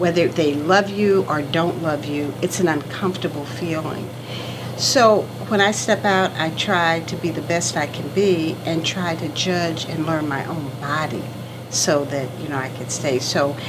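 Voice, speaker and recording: A woman speaks at a fairly slow pace in a very deep, low voice, with noticeable background noise and audible room echo. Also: ordinary pitch variation. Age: 70s. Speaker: kidney patient and entrepreneur. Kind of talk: interview testimony. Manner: emotional, heartfelt.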